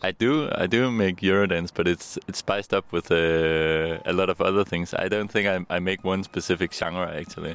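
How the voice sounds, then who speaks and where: In a Danish accent, a man with a very deep, low voice speaks at a moderate pace. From Denmark. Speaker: electronic musician. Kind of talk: interview. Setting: outdoors. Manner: halting.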